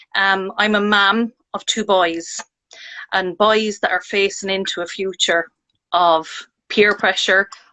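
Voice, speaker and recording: At a very slow pace, a woman with an Irish accent speaks at a medium pitch in a monotone, flat intonation. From Ireland. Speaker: parent sharing mental health experience. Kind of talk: casual chat.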